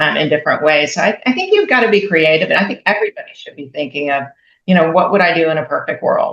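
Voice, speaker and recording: A woman speaks at a very fast pace. Her loudness swings widely. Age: 60s. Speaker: radiologist and business founder. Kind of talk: interview. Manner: halting, many fillers.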